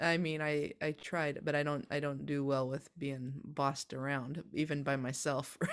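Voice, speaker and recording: On a very clean recording with a silent background, a woman talks fairly slowly. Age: 40s. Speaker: healer. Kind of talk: casual chat. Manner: halting.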